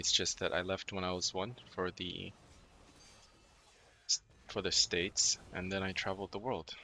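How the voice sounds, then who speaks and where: In a very clean recording with a silent background, a man with an American accent speaks at a fairly slow pace, his very deep, low pitch paired with a bright, sharp tone. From mixed: US, Hong Kong, Singapore, Korea. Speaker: gaming streamer. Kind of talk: casual chat. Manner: halting.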